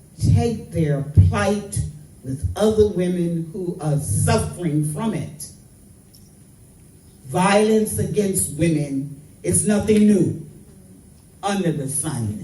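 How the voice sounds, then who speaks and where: A woman's very deep, low voice with very wide pitch swings, a very slow pace, long and frequent pauses, and audible room echo. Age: 80s+. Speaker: activist. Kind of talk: public speech. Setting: royal palace event. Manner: impassioned.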